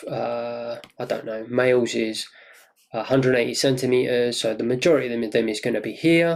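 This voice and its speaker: A man of medium pitch with a British accent at a moderate pace. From UK. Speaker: trading course instructor. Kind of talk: lecture. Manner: animated.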